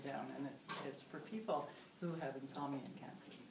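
Over noticeable background noise, a woman talks at a moderate pace in a very deep, low voice. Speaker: meditation teacher. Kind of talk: interview answer. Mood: warm, calm, friendly. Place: home room. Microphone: camera far.

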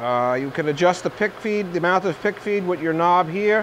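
A high-pitched male voice over light background noise. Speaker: machine salesman demonstrator. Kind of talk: product walkthrough demonstration. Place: workshop.

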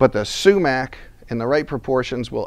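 A male speaker keeps a moderate pace. Nothing much is heard behind him. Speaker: cooking demonstrator. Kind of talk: tutorial. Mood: relaxed, friendly. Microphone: lapel.

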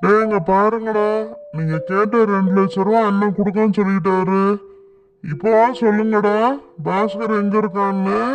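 Over faint music in the background, a man does a cartoonish character voice, high-pitched, monotone and flat, at a fairly slow pace. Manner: rough, pushy with others, deferential to boss.

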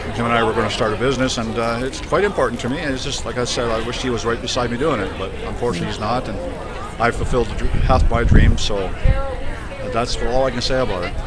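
Against loud background noise, a man talks at a very fast pace with a dry sound with no echo. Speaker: automotive service technician. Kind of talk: interview answer. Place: street. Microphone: phone near.

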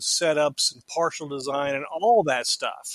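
Normal speaking voice from a man, pitched fairly high, at a moderate tempo with ordinary pitch variation. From Florida, small town. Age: 50s. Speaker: dental lab owner and technician. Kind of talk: interview storytelling.

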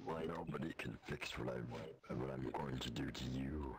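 Over loud background noise, a man puts on a character voice at a moderate pace with very deep, low pitch. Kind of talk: joking in-character menace. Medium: game stream. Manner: deadpan, mock-menacing, gleeful.

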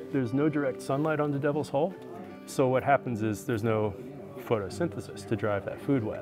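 Music plays clearly behind the speech. A man's words move along fairly quickly. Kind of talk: interview answer. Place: open country. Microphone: lapel.

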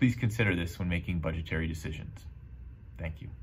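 A man talks in a somewhat breathy voice with a very deep, low pitch. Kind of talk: advocacy statement. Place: office. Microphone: webcam.

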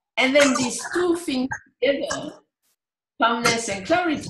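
Over noticeable background noise, a woman with a French accent speaks at a high pitch with lively intonation. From France. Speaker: meditation teacher. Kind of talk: talk on meditation. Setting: video call. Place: home room. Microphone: video call.

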